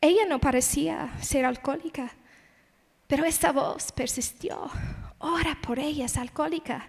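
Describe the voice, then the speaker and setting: This woman has a high pitch and an English accent. She talks at a fairly slow pace with ordinary pitch variation. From United States (born in Las Vegas). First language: English (speaking Spanish). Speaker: missionary, conference speaker. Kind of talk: sermon.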